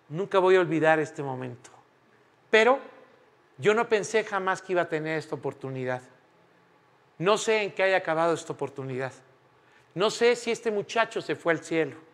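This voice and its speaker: A man with a high pitch talks at a fairly quick pace and with lively intonation, broken by long, frequent pauses. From Mexico. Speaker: preacher. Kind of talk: sermon. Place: church.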